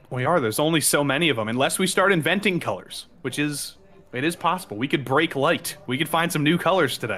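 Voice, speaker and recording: Bright and sharp in tone, a man's fairly high voice moves at a very fast pace. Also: ordinary pitch variation. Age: 20s. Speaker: sim racing commentator. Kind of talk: live commentary. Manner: animated.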